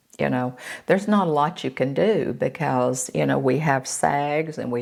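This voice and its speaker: Over a silent background in a very clean recording, a woman with an American accent speaks very slowly in a very deep, low voice with lively intonation. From Florida. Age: 70s. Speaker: beauty vlogger. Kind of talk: casual chat. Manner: halting, many fillers.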